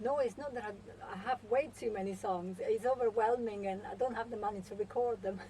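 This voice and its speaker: A woman's fairly quick speech in an Italian accent, fairly high in pitch and fairly even in intonation, with hardly any pauses and noticeable background noise. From Italy, Milan. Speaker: singer-songwriter. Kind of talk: radio interview.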